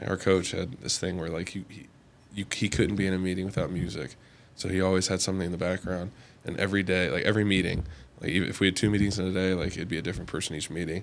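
A man's very deep, low voice at a very fast pace, with monotone, flat intonation. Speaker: college football player. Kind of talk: casual chat. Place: home room. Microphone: studio mic.

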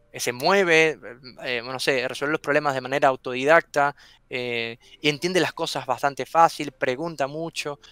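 A man's fairly high, bright and sharp voice at a moderate pace, recorded dry with no echo against a quiet background. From Venezuela. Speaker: software testing content creator. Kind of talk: interview. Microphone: headset.

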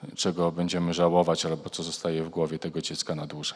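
A man with a Polish accent, very deep and low in pitch, against a quiet background. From Poland. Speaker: foundation president, researcher; panelist. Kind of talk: panel debate. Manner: formal. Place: hall. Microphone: handheld.

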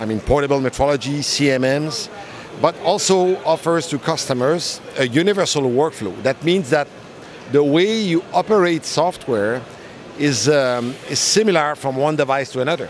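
A man at a moderate pace with ordinary pitch variation, dry sound with no echo and light background noise. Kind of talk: interview answer. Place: hall. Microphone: handheld.

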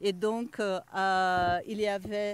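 A fairly high-pitched woman is heard in a dry sound with no echo. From Brazil. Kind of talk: casual chat. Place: open country. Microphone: handheld.

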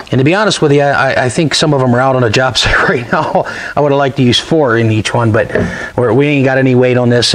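Speaking very fast, a man keeps ordinary pitch variation. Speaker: epoxy flooring contractor. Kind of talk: tutorial. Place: workshop. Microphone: lapel.

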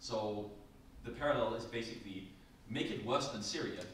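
A man with a Danish accent speaks at a moderate pace and medium pitch. Room echo is audible, along with light background noise. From Denmark. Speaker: academic panelist. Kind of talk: lecture. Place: classroom. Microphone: camera far.

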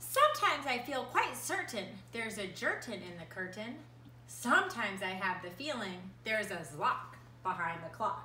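A woman's pitch swings very widely amid audible room echo and light background noise. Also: moderate pace. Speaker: preschool art teacher. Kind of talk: children's story time, reading a picture book aloud to preschoolers. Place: home room. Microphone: phone near.

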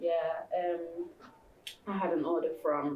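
Ordinary pitch variation comes through along with audible room echo. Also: woman. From Sheffield. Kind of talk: informal presentation. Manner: hesitant, many ums. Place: classroom. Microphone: camera far.

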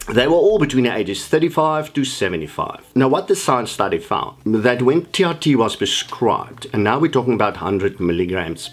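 A man's medium-pitched voice with very wide pitch swings at a fairly slow pace, faint music in the background. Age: 60s. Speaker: fitness coach. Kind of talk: vlog monologue.

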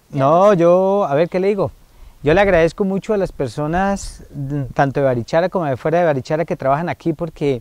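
A high-pitched man speaks at a fairly quick pace, the sound dry with no echo. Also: ordinary pitch variation. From Colombia, Valle de San José (Santander); Santander, Colombia. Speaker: foundation director, family counselor. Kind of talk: interview on community TV. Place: garden.

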